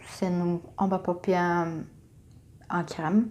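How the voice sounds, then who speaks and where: The pace of this woman's speech is very slow. She has a fairly low pitch. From Brazil. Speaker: makeup YouTuber. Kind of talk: casual talk to camera.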